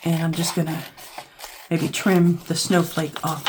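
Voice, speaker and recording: The speech comes at a fairly slow pace, and noticeable background noise runs underneath it. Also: woman. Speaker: crafting YouTuber. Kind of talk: craft tutorial. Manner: casual, thinking aloud.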